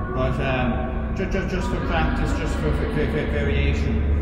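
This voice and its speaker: A man at a fairly slow pace, with audible room echo and loud music in the background. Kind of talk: casual tutorial. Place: garage. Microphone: camera far.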